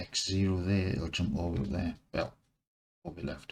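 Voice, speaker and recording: A man whispers quietly at a moderate pace. His voice is somewhat breathy. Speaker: 3D modelling screencaster. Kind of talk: screencast work commentary, talking to himself. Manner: whispering, quiet. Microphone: mic placed far away.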